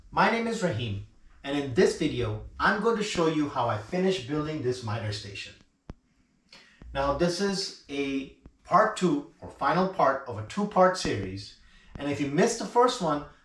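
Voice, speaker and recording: A man speaks at a moderate pace, with audible room echo around his voice. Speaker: woodworking channel host. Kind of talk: casual vlog intro. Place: workshop.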